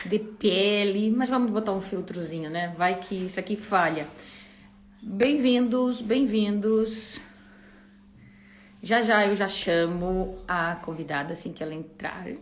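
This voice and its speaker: Audible room echo surrounds a woman speaking at a very slow pace, with long, frequent pauses. Her pitch is medium, with ordinary variation. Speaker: YouTuber and live host. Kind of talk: casual livestream chat. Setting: livestream. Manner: animated.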